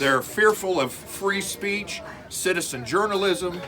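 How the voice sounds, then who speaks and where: A loud man with an American accent, music playing in the background. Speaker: political candidate and citizen journalist. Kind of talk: heated confrontation.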